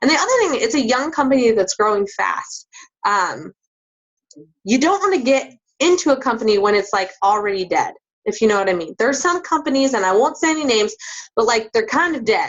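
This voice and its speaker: A woman speaks in a high voice at a fairly quick pace. Her pitch swings very widely. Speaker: fitness business coach. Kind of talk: recruiting pitch. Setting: group call. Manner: fast.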